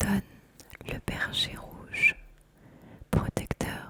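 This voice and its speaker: Someone whispers over noticeable background noise. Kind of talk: ASMR card deck presentation, reading card descriptions. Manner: whispered, soft-spoken.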